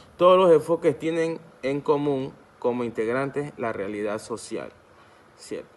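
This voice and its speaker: A man speaks at a fairly high pitch. His pace is fairly slow, with ordinary pitch variation. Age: 20s. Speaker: law student. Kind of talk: academic presentation. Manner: halting, with many restarts and self-corrections.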